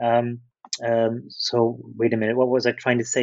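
Here a man speaks with a Dutch accent. His pace is moderate and his pitch medium. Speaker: literature lecturer. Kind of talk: interview. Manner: halting.

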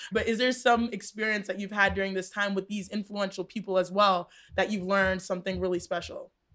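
A woman with an American accent talks fairly quickly. Her medium-pitched voice has a monotone, flat intonation. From Texas, US. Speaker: podcast co-host, sports broadcaster. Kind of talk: casual chat.

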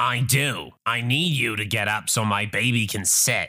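A man performs a put-on character voice with a bright, sharp tone. His pitch varies in an ordinary way. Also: fairly low pitch for a man, fairly slow pace, very clean recording, silent background.

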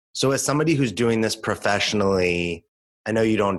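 A man with an American accent in an ordinary speaking voice, fairly quick, with ordinary pitch variation, on a very clean recording with a silent background. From Los Angeles, US. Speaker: podcast co-host. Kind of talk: casual chat.

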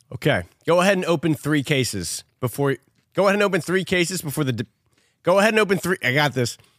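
A man with a fairly high voice and vocal fry talks very fast with lively intonation and very even loudness, in a dry, close, very clean recording with no echo and a silent background. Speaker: podcast host and game show quizmaster. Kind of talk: casual banter, game show style.

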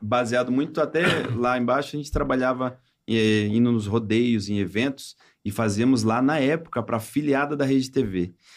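Here is a man with an unremarkable speaking voice and a medium pitch. He talks at a moderate pace with ordinary pitch variation. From Brazilian coast (caiçara region). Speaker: comedian and impressionist. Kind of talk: casual chat.

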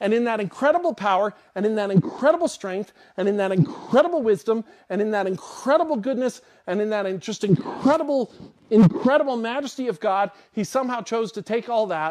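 Speaking at a fairly quick pace, a man uses a high pitch with very wide pitch swings. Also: big swings in loudness. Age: 50s. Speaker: pastor. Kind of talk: sermon.

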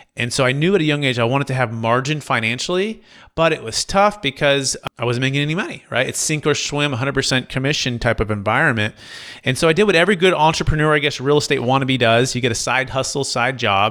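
Talking at a very fast pace, a man speaks in a Californian accent. His tone is bright and sharp. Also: medium pitch for a man, ordinary pitch variation. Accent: Californian American. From Northern California, Fremont area. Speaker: commercial real estate broker. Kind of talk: podcast interview.

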